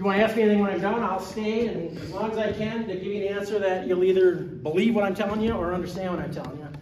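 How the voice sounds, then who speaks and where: A high-pitched man at a very fast pace, ordinary pitch variation, noticeable background noise and audible room echo. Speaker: school district business director. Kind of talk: presentation.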